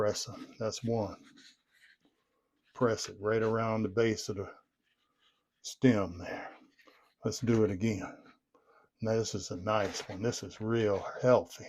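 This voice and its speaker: In a fairly low pitch, a man talks at a very slow pace with monotone, flat intonation and long, frequent pauses. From Southern United States. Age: 70s. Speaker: gardener. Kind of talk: casual gardening how-to talk to camera. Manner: relaxed, folksy.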